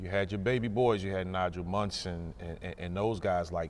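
Speaking at a moderate pace, a man uses a fairly low pitch with ordinary pitch variation. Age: 40s. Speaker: college basketball coach. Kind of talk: casual chat. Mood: relaxed, reminiscing, laughing. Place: hall. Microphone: lapel.

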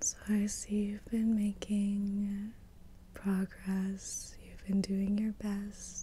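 Soft-spoken and warm in tone, a woman talks at a very slow pace. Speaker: Reiki master teacher. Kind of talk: ASMR reiki session. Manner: whispered; soft-spoken, warm, encouraging. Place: home room. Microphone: studio mic.

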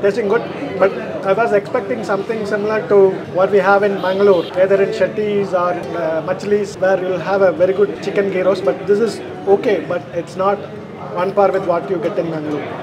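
Fairly quick speech from a man, with noticeable background noise. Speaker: food reviewer. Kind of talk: food review vlog commentary. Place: cafe.

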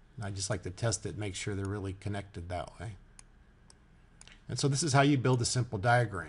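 A man with a fairly low pitch and a somewhat breathy voice talks at a fairly quick pace with ordinary pitch variation and long, frequent pauses. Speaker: software tutorial maker. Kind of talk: tutorial. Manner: casual, halting with fillers.

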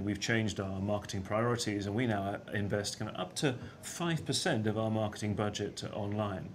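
A man speaks at a fairly low pitch with fairly even intonation. Light background noise sits behind him. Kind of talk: interview answer. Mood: calm, earnest, persuasive. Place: studio.

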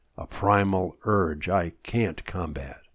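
Very deep and low, the man's voice carries the clip. The background is quiet. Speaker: poet. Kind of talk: poem reading, humorous rhyming verse read aloud.

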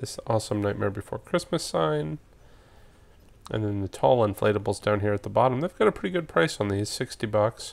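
A man with an unremarkable speaking voice talks at a fairly quick pace in a fairly low pitch. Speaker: seasonal decor vlogger. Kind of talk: casual store walkthrough commentary. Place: shop. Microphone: phone near.

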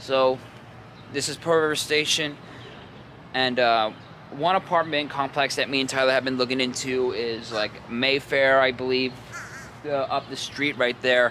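A man with an American accent speaks at a medium pitch and a moderate pace in a monotone, flat intonation. The sound is dry with no echo, over light background noise. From New York area (Rockland County). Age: 20s. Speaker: vlogger. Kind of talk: casual vlog narration. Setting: outdoors and around the city while filming. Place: station. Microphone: phone near.

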